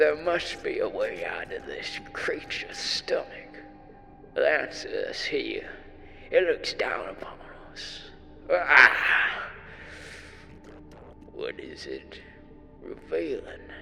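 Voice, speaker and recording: A man whispers in a put-on character voice at a very slow pace, with long, frequent pauses. Music plays in the background. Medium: video game. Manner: questioning, unsettling.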